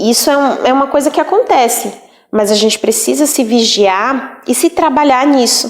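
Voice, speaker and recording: At a moderate pace, a high-pitched woman speaks with lively intonation and very even loudness. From Northeast Brazil. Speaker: teacher. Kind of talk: lecture. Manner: casual.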